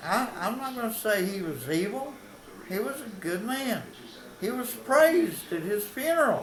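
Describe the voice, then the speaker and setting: A man with an Appalachian accent talks at a moderate pace in a high pitch, his voice making very wide pitch swings. Audible room echo and noticeable background noise sit around him. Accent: Appalachian Southern US. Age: 80s+. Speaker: local historian. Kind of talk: casual storytelling monologue. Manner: folksy, with hesitations.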